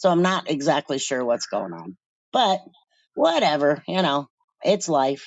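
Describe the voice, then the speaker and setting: A woman's very deep, low voice with vocal fry, lively intonation, a fairly slow pace and long, frequent pauses. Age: 60s. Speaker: caller and cat colony caretaker. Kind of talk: casual chat.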